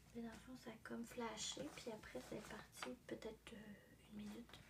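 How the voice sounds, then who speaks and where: Whispering at a fairly slow pace, a soft-spoken woman talks in a Quebec accent. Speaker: ASMR artist. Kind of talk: ASMR livestream chat. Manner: whispered, soft-spoken.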